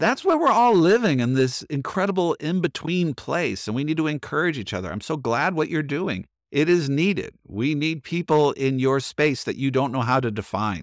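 A man with a plain, everyday voice speaks at a fairly high pitch with lively intonation. The recording is very clean, with a silent background. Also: moderate pace. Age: 50s. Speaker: pastor and author. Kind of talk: casual chat.

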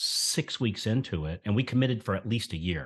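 Against a quiet background, a man with a Southern US accent speaks at a moderate pace in a fairly low pitch, with lively intonation. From US South, rural central Florida. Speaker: mortgage marketing coach. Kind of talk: interview.

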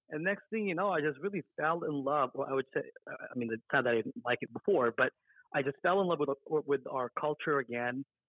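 A man with an American accent and a plain, everyday voice speaks fairly quickly, fairly high in pitch with ordinary pitch variation. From US West, Las Vegas, Nevada. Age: 30s. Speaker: bank executive and community organization president. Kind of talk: interview.

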